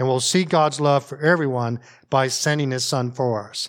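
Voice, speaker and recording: A man with an American accent talks at a moderate pace and medium pitch in a very clean recording with a silent background. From US North. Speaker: pastor. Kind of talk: sermon. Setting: church. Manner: informal, animated.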